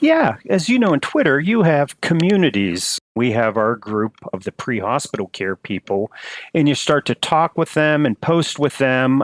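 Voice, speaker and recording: A man with an American accent, fairly high-pitched, his pitch swinging very widely, at a moderate pace, in a dry, close recording with no echo. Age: 60s. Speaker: emergency and flight physician. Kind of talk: interview.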